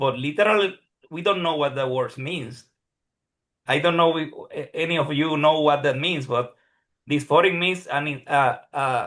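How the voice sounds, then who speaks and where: A man speaks at a moderate pace with a fairly high pitch and ordinary pitch variation. His speech has long, frequent pauses. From Puerto Rico. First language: Spanish. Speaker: psychologist who passed licensing exam, neuroscience teacher. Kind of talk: Q&A session testimony. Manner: halting, many repetitions.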